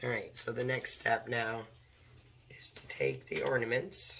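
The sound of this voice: A woman speaks at an extremely low pitch, hoarse and croaky with vocal fry. Her pace is fairly slow and her pitch variation ordinary. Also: fairly bright tone.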